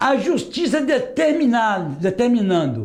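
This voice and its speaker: This man's extremely high pitch moves in very wide swings. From Northeast Brazil. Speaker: retired metalworker and union activist. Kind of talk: oral history testimony.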